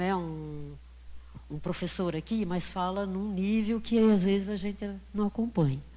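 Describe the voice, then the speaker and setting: A woman at a fairly slow pace amid audible room echo. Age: 70s. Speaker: audience member. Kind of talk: audience question at a lecture Q&A.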